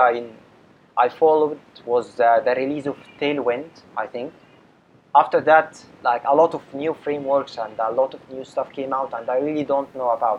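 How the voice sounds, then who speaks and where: Man with an Arabic accent, fairly even intonation, long, frequent pauses. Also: big swings in loudness. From Egypt. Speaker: web developer. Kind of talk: interview. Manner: hesitant, many fillers.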